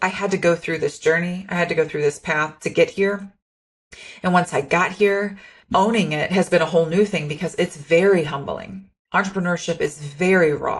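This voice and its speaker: A woman talks at a moderate speed in a fairly low, somewhat breathy voice, her intonation staying fairly flat. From rural farm upbringing. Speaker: podcast host, entrepreneur. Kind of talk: solo podcast monologue. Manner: candid, unpolished.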